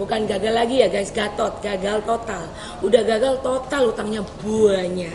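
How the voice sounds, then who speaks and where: A woman speaks at a fairly high pitch with a Javanese accent. Room echo is audible, and background noise is noticeable. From East Java, Surabaya. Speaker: podcast host. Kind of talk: casual interview chat. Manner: animated.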